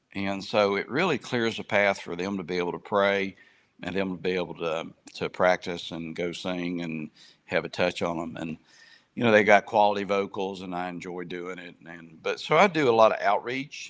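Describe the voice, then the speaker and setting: A man with an Appalachian accent speaks at a very deep, low pitch, his loudness swinging widely. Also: ordinary pitch variation, moderate pace. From southern West Virginia. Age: 60s. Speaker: retired businessman and gospel group outreach. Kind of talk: interview conversation. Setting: live online podcast.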